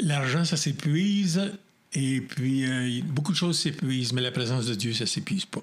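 Somewhat breathy speech from a man, fairly high in pitch, with lively intonation at a moderate pace. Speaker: pastor and radio host. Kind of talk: interview.

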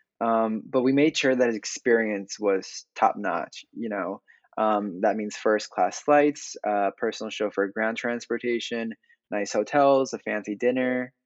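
Speaking at a fairly slow pace, a man uses an ordinary speaking voice of medium pitch with fairly even intonation. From Massachusetts, US. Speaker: film director. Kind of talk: interview.

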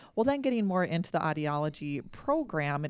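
A woman's very deep, low voice in an Upper Midwest accent, at a moderate pace, on a very clean recording with a silent background. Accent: Upper Midwest American. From North Dakota, small town. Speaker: audiologist. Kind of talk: interview.

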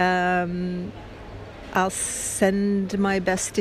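Audible room echo surrounds a woman speaking with a Canadian accent at a medium pitch. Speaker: storyteller. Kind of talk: personal storytelling monologue. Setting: at an airport.

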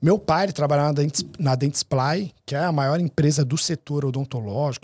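The voice is somewhat breathy and fairly quick, with a dry, close sound, no echo, and a very clean recording over a silent background. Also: man. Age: 30s. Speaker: dental marketing business owner. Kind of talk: casual interview.

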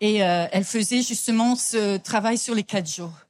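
On a very clean recording with a silent background, a woman talks at a moderate pace in a fairly high pitch with ordinary pitch variation. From France. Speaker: business coach. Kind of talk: conference talk.

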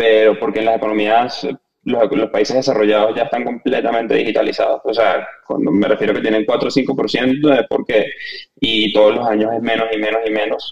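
In an ordinary speaking voice, a man talks at a fairly quick pace with a medium pitch and fairly even intonation. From Venezuela. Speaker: fintech startup founder. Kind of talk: podcast interview.

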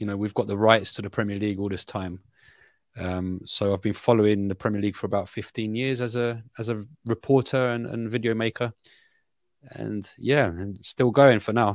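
A man with a London accent and a fairly low voice at a moderate pace, in a very clean recording with a silent background. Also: fairly even intonation. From Brazil, raised in London from age ten. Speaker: football journalist. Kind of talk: casual football analysis chat. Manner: halting, many fillers and repeats.

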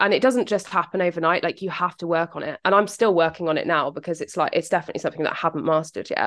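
A woman speaks with a British accent. The background is quiet. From England.

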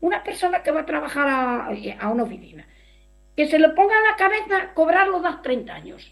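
A woman's extremely high voice at a fairly quick pace, with very wide pitch swings and big swings in loudness. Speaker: rural women's association member. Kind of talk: interview.

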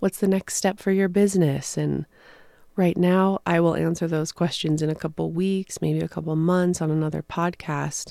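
Her voice is fairly low-pitched with a dark, mellow tone, and the woman keeps a moderate pace. The sound is dry and close with no echo, in a very clean recording with a silent background. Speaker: podcast host and spiritual author. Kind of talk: solo spiritual talk.

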